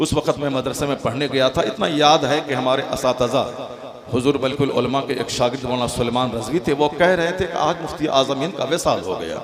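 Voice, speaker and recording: Noticeable background noise runs under a man speaking at a moderate pace in a fairly high voice with ordinary pitch variation. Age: 50s. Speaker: Islamic cleric. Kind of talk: religious speech. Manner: animated.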